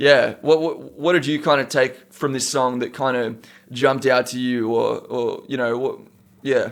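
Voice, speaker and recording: Speaking with an Australian accent, a man uses a medium pitch and fairly even intonation at a moderate pace. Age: 20s. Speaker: rapper. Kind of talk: casual chat.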